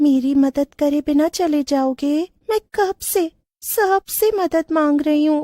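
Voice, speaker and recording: Someone speaks in a cartoonish character voice at a fairly slow pace. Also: woman, high pitch for a woman. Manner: eerie.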